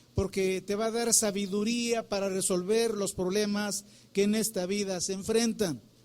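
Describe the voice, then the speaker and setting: A man with a high pitch speaks at a fairly slow pace in a monotone, flat intonation. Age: 60s. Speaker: pastor. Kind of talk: sermon.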